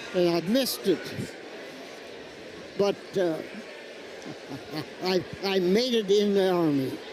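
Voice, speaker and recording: A man with an American accent at high pitch, ordinary pitch variation and very even loudness, very slow pace with long, frequent pauses, over noticeable background noise. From United States, rural farm upbringing. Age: 80s+. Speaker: war veteran. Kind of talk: interview answer.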